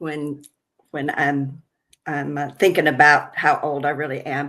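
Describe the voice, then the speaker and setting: At a fairly slow pace, a woman talks in a very deep, low pitch with a bright, sharp tone and a monotone, flat intonation. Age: 60s. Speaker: addiction recovery therapist. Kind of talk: interview.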